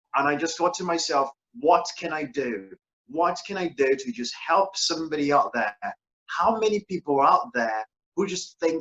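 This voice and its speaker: A man with a non-native accent speaks in a high voice with lively intonation. The sound is dry and close, with no echo. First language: not English. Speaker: author and motivational speaker. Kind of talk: interview.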